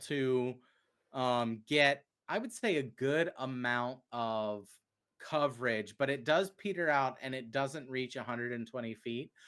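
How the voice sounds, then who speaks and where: A man's fairly high voice with a Southern US accent, fairly slow pace, and ordinary pitch variation, on a very clean recording with a silent background. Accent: Southern US accent, coming back. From US South, Chattanooga Tennessee. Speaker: game master. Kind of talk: tabletop game narration. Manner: halting, many fillers.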